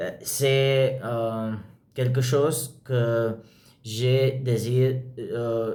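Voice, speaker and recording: A man with a non-native accent speaks at a very slow pace, his pitch medium and his intonation fairly even. His somewhat breathy voice has a dark, mellow tone, and there is audible room echo. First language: not French (speaking French). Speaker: language learner vlogger. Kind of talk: language practice monologue. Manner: halting, many fillers.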